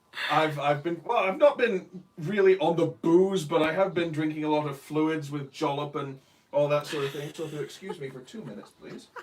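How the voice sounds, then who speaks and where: A man with a fairly high pitch and ordinary pitch variation talks at a fairly quick pace against noticeable background noise. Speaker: co-host, husband. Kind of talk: casual chat. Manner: loud.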